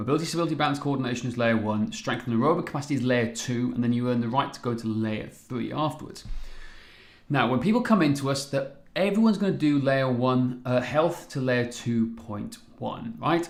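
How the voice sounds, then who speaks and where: In a Welsh accent, a man talks at a fairly quick pace and medium pitch with ordinary pitch variation, and audible room echo surrounds him. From Wales. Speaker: fitness coach. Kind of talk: live webinar presentation. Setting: live stream. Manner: animated.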